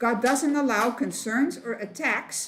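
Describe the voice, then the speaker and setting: Her pace very slow, a woman speaks at a high pitch with ordinary pitch variation. Room echo can be heard. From Netherlands, Rotterdam. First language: Dutch. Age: 70s. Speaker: missionary. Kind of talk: testimony. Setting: women's meeting at church.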